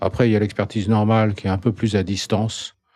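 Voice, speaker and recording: Very fast yet fairly even in intonation, a man talks at a fairly low pitch with a dark, mellow tone on a very clean recording with a silent background. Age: 60s. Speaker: psychiatrist. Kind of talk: casual interview.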